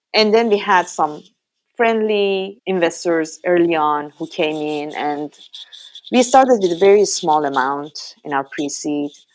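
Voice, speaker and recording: Speaking fairly slowly with a strong Iranian accent, a woman with a fairly low pitch uses lively intonation. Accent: heavy Iranian. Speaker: startup founder, former academic. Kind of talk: podcast interview.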